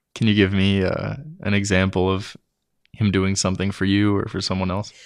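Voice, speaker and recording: Monotone, flat intonation over a quiet background. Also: man, fairly low pitch for a man, fairly quick pace. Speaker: interviewer. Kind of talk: interview question.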